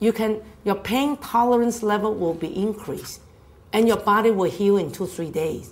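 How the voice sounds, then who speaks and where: A woman's animated voice at medium pitch, with ordinary pitch variation and a moderate pace. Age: 60s. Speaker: health speaker. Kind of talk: health talk.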